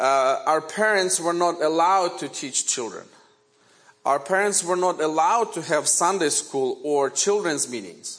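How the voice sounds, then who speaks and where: With a Ukrainian accent, a man speaks in a high voice at a fairly slow pace, with ordinary pitch variation. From Ukraine. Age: 40s. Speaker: guest preacher. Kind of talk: sermon. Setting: church. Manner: halting.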